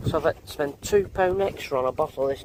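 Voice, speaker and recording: A man's intonation rises and falls in a lively way while noticeable background noise runs underneath. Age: 50s. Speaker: vlogger. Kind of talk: casual vlog chat. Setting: in a car and at a campsite. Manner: animated.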